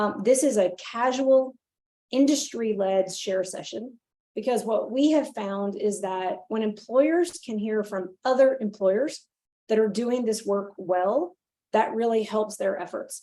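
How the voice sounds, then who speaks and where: A woman talks with a dark, mellow tone, a fairly high pitch and ordinary pitch variation. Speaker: nonprofit leader and webinar host. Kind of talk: webinar presentation. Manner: fast; frequent fillers.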